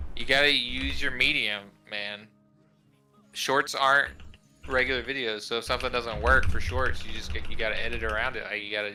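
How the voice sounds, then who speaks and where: Music plays in the background as a man with an American accent talks at a fairly quick pace, with audible room echo. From Texas. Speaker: gamer streamer. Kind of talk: casual chat.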